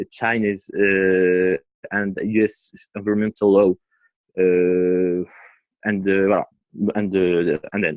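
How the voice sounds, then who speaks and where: This speaker has a non-native accent. The intonation is monotone and flat. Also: man. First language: not English. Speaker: audience member asking a question. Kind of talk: audience question. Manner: halting.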